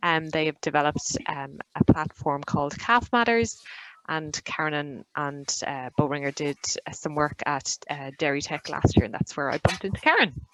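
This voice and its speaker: A woman speaks with an Irish accent at a moderate pace. Her pitch is very deep and low, with ordinary variation. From Ireland. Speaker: digital marketing consultant. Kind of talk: webinar presentation.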